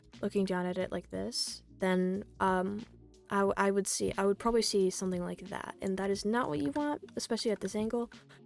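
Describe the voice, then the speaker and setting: Music plays in the background as a woman talks at a fairly quick pace. Her pitch is medium, with ordinary variation. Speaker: 3D artist giving art critique. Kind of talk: casual screen-recorded commentary. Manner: hesitant, stuttering, many fillers.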